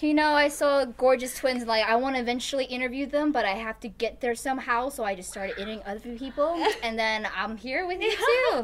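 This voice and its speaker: Very fast pace, ordinary pitch variation, and light background noise. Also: woman, high pitch for a woman, hardly any pauses. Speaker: interviewer. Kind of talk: interview questions, upbeat. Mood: cheerful, laughing. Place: home room.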